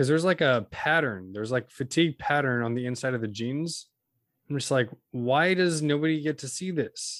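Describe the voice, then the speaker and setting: An unremarkable speaking voice: a man with an American accent, fairly high in pitch, with ordinary pitch variation and a moderate pace. The recording is very clean, with a silent background. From Central Valley, California. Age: 20s. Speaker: podcast co-host. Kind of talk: casual chat.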